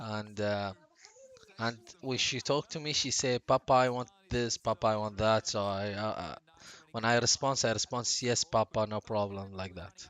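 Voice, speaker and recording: A man speaks at a moderate pace with a Gulf Arabic accent. His pitch is fairly low and his intonation fairly even. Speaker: streamer. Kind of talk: casual chat. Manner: halting.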